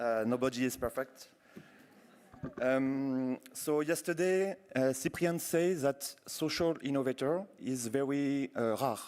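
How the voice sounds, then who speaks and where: A man with a French accent speaks at a very slow pace with a fairly high pitch. His loudness stays very even, and his pitch variation is ordinary. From France. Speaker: university program director, keynote speaker. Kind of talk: keynote speech.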